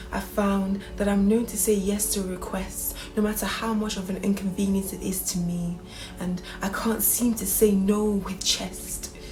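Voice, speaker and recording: A woman talks at a moderate pace with a medium pitch and monotone, flat intonation. Music plays in the background. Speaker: spoken word poet. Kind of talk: spoken word poetry performance.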